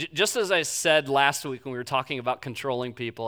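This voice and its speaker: Bright, sharp tone on a very clean recording with a silent background. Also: man. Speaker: pastor. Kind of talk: sermon. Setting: church. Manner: halting.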